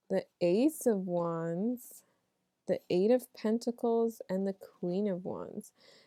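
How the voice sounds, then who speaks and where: In a dry, close recording with no echo, a woman speaks very slowly at a medium pitch, her tone dark and mellow and her pitch varying in an ordinary way. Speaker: tarot reader. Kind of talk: tarot reading monologue. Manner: casual, conversational.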